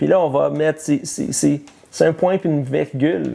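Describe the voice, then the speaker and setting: At a fairly slow pace, a man speaks in a fairly high pitch with a dark, mellow tone. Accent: Quebec. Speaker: pastor. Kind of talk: sermon. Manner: halting, many repetitions and fillers.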